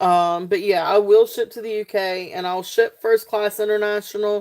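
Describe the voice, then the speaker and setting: A woman is speaking. She has a Southern US accent. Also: very clean recording, silent background. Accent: Southern twang without the country twang. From South Central Virginia, near North Carolina. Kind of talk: live sale stream. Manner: casual, filler-heavy with many ums.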